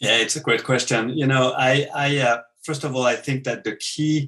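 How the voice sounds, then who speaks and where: With a French accent, a man talks at a moderate pace with fairly even intonation. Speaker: business author. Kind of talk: interview.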